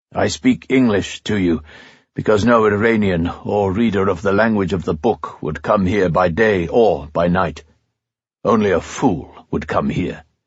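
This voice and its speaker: A man puts on a gruff character voice, fairly low in pitch, at a moderate pace. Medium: read story. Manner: gentle, softly ironic.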